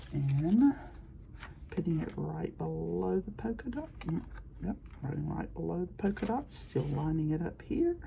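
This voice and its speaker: A soft-spoken woman mumbles at a fairly slow pace over noticeable background noise. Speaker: crafting video creator. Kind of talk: crafting tutorial. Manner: mumbling.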